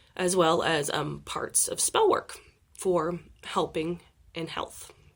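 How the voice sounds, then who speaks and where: With an American accent, this woman talks. She goes at a very slow pace. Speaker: occult video creator. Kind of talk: informal talk to camera. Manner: hesitant, many fillers.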